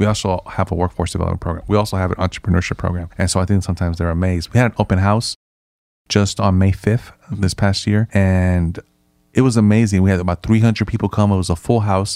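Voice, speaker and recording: A man with a very deep, low pitch speaks at a very fast pace with fairly even intonation. The recording is very clean, with a silent background. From Nicaragua, raised in San Francisco. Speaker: nonprofit chief executive. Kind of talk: casual interview.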